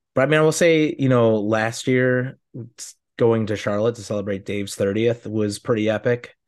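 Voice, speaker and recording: An ordinary speaking voice with ordinary pitch variation against a quiet background. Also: man. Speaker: podcast co-host. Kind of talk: casual chat.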